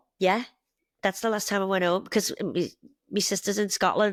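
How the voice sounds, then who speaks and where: This woman talks very fast in a Liverpool accent. The sound is dry and close with no echo, on a very clean recording with a silent background. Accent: Scouse (Liverpool). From northern England, Liverpool. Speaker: bartender and mother, immigrant. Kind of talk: casual interview chat.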